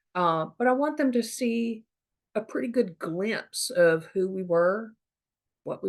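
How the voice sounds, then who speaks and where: A woman speaks at a moderate pace with lively intonation. She has a normal speaking voice. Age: 50s. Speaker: podcaster on family history. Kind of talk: casual monologue. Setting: Zoom recording. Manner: conversational, many fillers.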